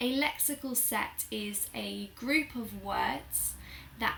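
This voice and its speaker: A woman talks at a very slow pace in a Received Pronunciation accent. Noticeable background noise can be heard. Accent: British Received Pronunciation. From Southern England. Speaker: English teacher. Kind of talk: language lesson to camera.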